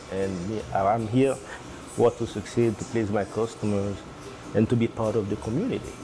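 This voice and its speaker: Fairly low-pitched male speech at a moderate pace, fairly even in intonation, over noticeable background noise. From Haiti. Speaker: restaurant owner. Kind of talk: interview. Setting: on location in restaurant. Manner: halting.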